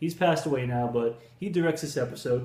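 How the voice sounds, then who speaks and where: Speaking at a very fast pace, a man with a dark, mellow tone sounds somewhat breathy amid audible room echo. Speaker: film reviewer. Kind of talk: casual review chat. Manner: halting with fillers.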